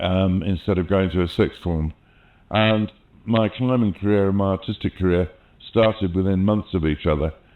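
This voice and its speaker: A man's very deep, low voice at a moderate pace, with fairly even intonation and very even loudness. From England, London (born in the Midlands). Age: 60s. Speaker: mountaineering filmmaker and artist. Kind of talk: oral history interview. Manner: conversational with fillers.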